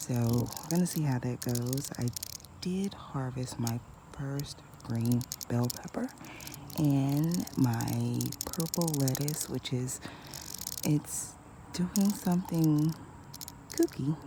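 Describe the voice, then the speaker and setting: Through noticeable background noise, a woman speaks quietly in a very deep, low pitch with ordinary pitch variation, at a very slow pace with long, frequent pauses. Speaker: gardening vlogger. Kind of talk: casual vlog narration. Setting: outdoors in backyard garden before sunrise. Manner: quiet, low-volume speech; hesitant, many fillers.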